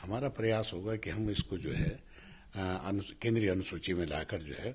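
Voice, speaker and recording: Vocal fry marks this voice. It belongs to a man. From Tehri Garhwal, Uttarakhand; Uttarakhand. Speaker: politician; politician interviewee. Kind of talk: interview; interview answer. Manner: halting. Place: home room. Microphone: handheld.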